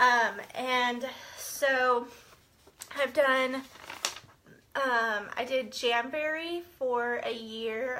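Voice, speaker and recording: Against noticeable background noise, a woman with a high pitch speaks with long, frequent pauses. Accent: American. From Central Texas. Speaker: direct sales consultant and team leader. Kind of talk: live-stream team training. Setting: Facebook live video. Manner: casual, many fillers.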